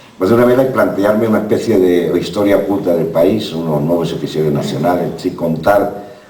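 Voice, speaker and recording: Over noticeable background noise, a man speaks with a very deep, low pitch and ordinary pitch variation. His pace is fairly quick, with hardly any pauses. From southern Spain, Málaga. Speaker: novelist and former journalist. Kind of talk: talk at a literary festival. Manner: fast; halting, many repetitions.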